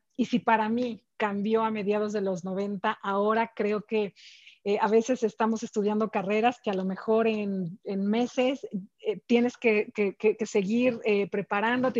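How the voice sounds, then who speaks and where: A woman with a fairly high pitch speaks at a fairly slow pace in a monotone, flat way, the sound dry and close with no echo and the background quiet. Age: 40s. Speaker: corporate executive. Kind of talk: interview. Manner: halting, many repeated words and fillers.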